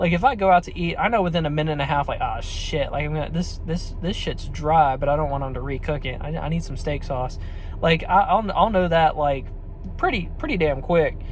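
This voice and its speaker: Noticeable background noise lies under speech that moves fairly quickly. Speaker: restaurant server sharing tips. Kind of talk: casual talking-head tutorial. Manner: fast; halting, many repeated words and fillers.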